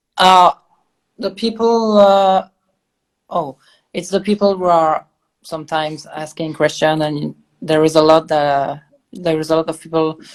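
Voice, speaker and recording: Against a quiet background, a woman with a slight French accent speaks at a fairly slow pace in a very deep, low pitch, her intonation fairly even. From Belgium. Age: 20s. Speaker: interviewer, online show host. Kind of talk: interview.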